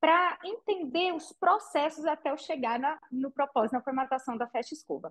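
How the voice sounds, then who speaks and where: With a high pitch and very wide pitch swings, a woman talks at a fairly quick pace in a dry, close sound with no echo. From Brazil, interior of Minas Gerais (Patrocínio). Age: 40s. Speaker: entrepreneur, franchise founder. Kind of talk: interview.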